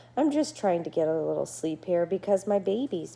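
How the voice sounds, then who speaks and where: A female-sounding voice puts on a character voice. It moves at a fairly quick pace at medium pitch. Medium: read story. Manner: tired.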